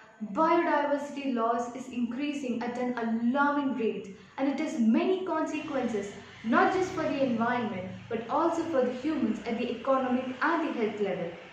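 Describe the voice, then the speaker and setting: Amid light background noise and audible room echo, a woman speaks at a moderate pace in a high pitch with lively intonation. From Kerala, India. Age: young. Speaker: student. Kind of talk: prepared speech for a competition. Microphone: phone near.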